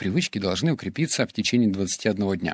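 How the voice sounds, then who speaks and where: In a dry, close recording with no echo, a man at a fairly low pitch talks at a moderate pace with lively intonation. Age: 20s. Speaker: podcaster and blogger. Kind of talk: solo podcast monologue.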